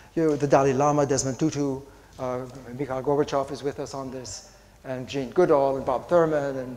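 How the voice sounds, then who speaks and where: Audible room echo surrounds the voice. The delivery is fairly quick. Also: man. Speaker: philosophy professor. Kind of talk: conference lecture. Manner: fast; animated.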